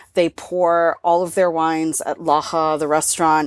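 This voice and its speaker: On a very clean recording with a silent background, a woman speaks at a fairly low pitch, the sound dry and close with no echo. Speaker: wine podcast co-host. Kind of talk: casual chat.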